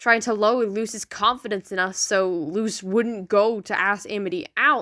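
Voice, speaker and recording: In a very clean recording with a silent background, a woman speaks fairly slowly in a fairly high, bright, sharp voice with ordinary pitch variation. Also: dry, close sound with no echo. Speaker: fan commentator. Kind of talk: casual commentary. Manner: unscripted, stumbling over words.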